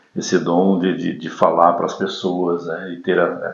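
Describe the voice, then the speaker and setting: A man talks at a very slow pace. Audible echo fills the room. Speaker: announcer. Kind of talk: podcast interview.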